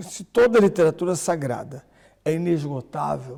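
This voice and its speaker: A man's dark, mellow tone carries ordinary pitch variation. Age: 60s. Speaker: priest and bible scholar. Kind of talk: podcast interview.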